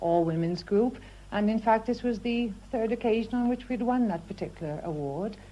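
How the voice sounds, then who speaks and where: A woman with a Welsh accent has a dark, mellow tone at a fairly high pitch. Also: ordinary pitch variation, moderate pace. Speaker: housewife. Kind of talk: radio interview. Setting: at home.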